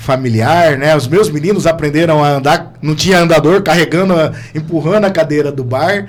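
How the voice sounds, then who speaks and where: A man talks at a fairly high pitch and a moderate pace, with ordinary pitch variation. Noticeable background noise is present. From Londrina, Paraná, Brazil. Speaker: entrepreneur. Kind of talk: casual chat.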